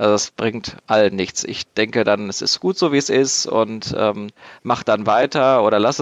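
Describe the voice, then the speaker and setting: A man speaks at a medium pitch in an unremarkable speaking voice. The sound is dry and close with no echo, the background quiet. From Germany, Dortmund (Ruhr area). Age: 20s. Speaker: board game designer. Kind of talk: casual chat.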